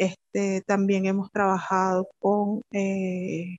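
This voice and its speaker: A woman speaks very slowly at a medium pitch. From Venezuela, Pariaguán, southern Anzoátegui. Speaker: microbiology professor and researcher. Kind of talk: interview.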